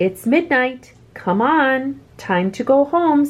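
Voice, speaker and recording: A woman's high-pitched, put-on character voice at a very slow pace. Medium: read story. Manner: patient, coaxing.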